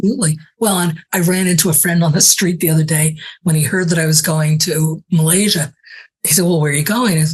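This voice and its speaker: A somewhat breathy woman's voice at a very fast pace, with fairly even intonation and very even loudness. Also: fairly low pitch for a woman. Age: 70s. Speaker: travel writer and author. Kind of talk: casual interview chat.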